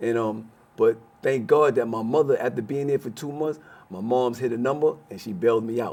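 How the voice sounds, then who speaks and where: A man with an American accent in a plain, everyday voice, medium pitch and ordinary pitch variation, at a fairly quick pace with big swings in loudness. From Brooklyn, New York. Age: 60s. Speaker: former prisoner. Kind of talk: interview.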